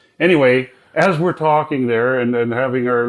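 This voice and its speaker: A man speaks at a moderate pace with a Canadian accent. His pitch is medium, with ordinary variation. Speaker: retired masonry contractor telling a personal story. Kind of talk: personal testimony story. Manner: animated; halting, with repeated words.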